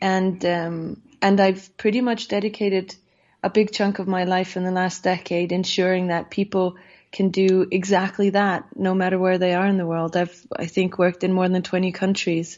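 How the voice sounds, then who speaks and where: A woman's monotone, flat intonation with an Icelandic accent. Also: medium pitch for a woman, moderate pace. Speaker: safety advisor and politician. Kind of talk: interview.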